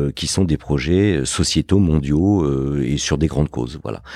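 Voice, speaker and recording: This man's pitch sits very deep and low. The tone comes across as dark and mellow. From Paris suburbs, France (Fontenay-sous-Bois). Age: 50s. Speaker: entrepreneur and investor. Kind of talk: interview. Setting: his office. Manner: hesitant, repeats words.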